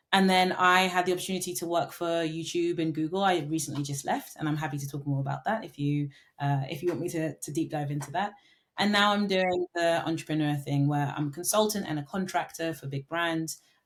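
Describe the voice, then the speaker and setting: With a London accent, a woman talks at a fairly quick pace and with fairly even intonation. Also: fairly low pitch for a woman. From London, England. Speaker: marketing consultant and entrepreneur. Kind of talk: podcast interview. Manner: filler-heavy, with frequent ums and restarts.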